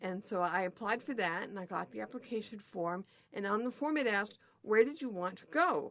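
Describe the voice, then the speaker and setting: A woman with a normal speaking voice talks at a fairly quick pace in a medium pitch. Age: 60s. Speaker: development worker. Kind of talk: oral history interview.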